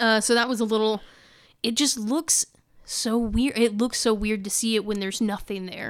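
A woman with an ordinary speaking voice talks at a moderate pace, her fairly high pitch held in fairly even intonation. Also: very clean recording, silent background. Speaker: podcast host. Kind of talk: casual chat. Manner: chatty, laughs often.

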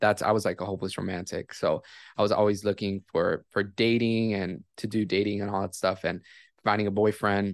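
Against a quiet background, a man with an ordinary speaking voice talks at a moderate pace in a fairly low pitch. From Miami, Florida, US. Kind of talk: testimony.

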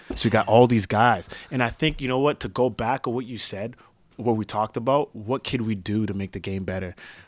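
In a Canadian accent, a man with a normal speaking voice talks at a fairly quick pace and medium pitch with ordinary pitch variation, the sound dry and close with no echo on a very clean recording with a silent background. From Canada. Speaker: street basketball player. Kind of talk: casual interview.

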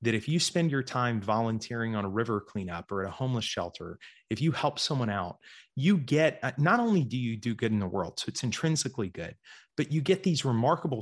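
An ordinary speaking voice comes from a man with an American accent and a medium pitch. He talks at a fairly quick pace with lively intonation over a quiet background. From US South, Georgia. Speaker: investor and writer. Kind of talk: interview.

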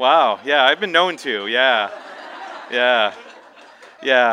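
A man talks in a plain, everyday voice with an American accent. His pace is moderate and his pitch variation ordinary. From Minnesota. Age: 40s. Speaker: novelist. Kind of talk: author reading and Q&A. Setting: bookstore event with audience.

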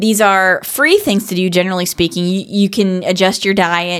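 A woman has a normal speaking voice at medium pitch and a moderate pace. The recording is very clean, with a silent background. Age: 50s. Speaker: podcast co-host. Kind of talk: casual chat.

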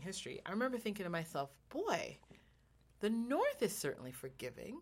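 A woman speaks fairly quickly at a medium pitch, with vocal fry. Her pitch swings very widely. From Jamaica. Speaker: podcast co-host. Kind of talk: casual chat.

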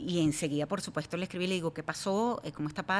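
A woman is talking. She has a normal speaking voice. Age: 40s. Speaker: TV news anchor. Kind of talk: interview conversation.

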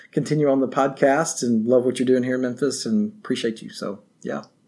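A man with a West Tennessee accent at a fairly quick pace, in a very clean recording with a silent background. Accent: Southern US (West Tennessee). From Northwest Tennessee. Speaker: barbecue history presenter. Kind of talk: casual interview.

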